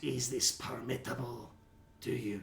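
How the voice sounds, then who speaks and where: A man puts on a raspy character voice at a medium pitch, keeping his intonation fairly even. He speaks at a moderate pace over clear background noise. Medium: actual play. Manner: curt, businesslike.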